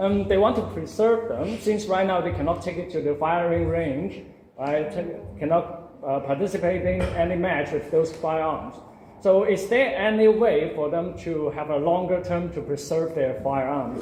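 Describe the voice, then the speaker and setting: The speaker has a non-native accent and talks at a moderate pace with ordinary pitch variation. Noticeable background noise and audible room echo fill the recording. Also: man. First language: not English. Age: young. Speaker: audience member. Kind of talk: audience question.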